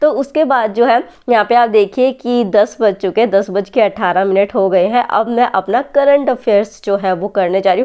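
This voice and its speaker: Speaking at a moderate pace with hardly any pauses, a woman has a fairly high pitch, a dark, mellow tone, very even loudness, and ordinary pitch variation. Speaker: exam aspirant vlogger. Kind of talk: study vlog. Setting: at home at night.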